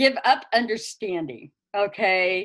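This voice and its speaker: A woman speaks loudly and very slowly in a fairly high pitch. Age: old. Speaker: earth wisdom elder and teacher. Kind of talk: interview.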